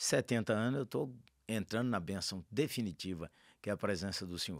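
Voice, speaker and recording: With lively intonation, a man talks at a moderate pace in a fairly low voice, captured in a very clean recording with a silent background. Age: 60s. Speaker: pastor. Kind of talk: podcast interview. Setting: studio.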